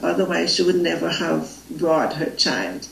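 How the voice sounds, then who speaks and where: With a Jamaican accent, a woman speaks in a room with audible echo and noticeable background noise. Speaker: spiritual facilitator. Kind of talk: interview. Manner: halting.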